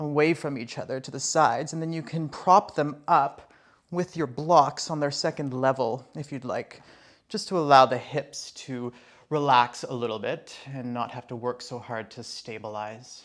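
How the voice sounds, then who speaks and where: A plain, everyday voice with ordinary pitch variation and big swings in loudness, on a very clean recording with a silent background. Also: man, fairly high pitch for a man. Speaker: yoga teacher. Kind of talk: guided yoga class instruction. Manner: slow, calm.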